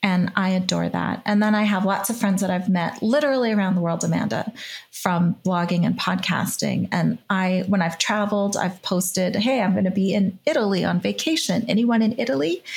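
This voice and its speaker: A normal speaking voice moves at a fairly quick pace with hardly any pauses. Its loudness is very even and its pitch variation ordinary. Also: woman, medium pitch for a woman. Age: 50s. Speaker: podcast host and author in recovery. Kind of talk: casual interview.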